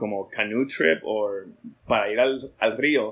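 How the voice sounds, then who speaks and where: Here is a man with an unremarkable speaking voice. He talks at a fairly slow pace with ordinary pitch variation. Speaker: artist. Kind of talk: casual chat.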